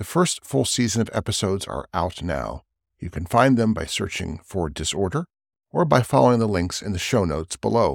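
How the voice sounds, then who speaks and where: Fairly low in pitch and marked by vocal fry, a man speaks at a fairly quick pace with very wide pitch swings. The recording is very clean and dry, close and free of echo, with a silent background. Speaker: podcast host introducing another show. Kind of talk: spoken intro.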